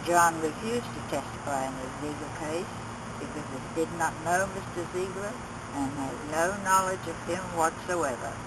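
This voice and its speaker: Over noticeable background noise and audible room echo, a woman talks at a fairly low pitch. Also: ordinary pitch variation, moderate pace. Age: 80s+. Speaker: witness, mother. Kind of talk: reading aloud. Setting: recorded interview.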